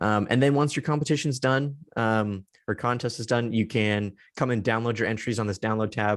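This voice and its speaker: Speaking at a very fast pace, a man delivers his words. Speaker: software trainer. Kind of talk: webinar tutorial. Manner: many filler ums.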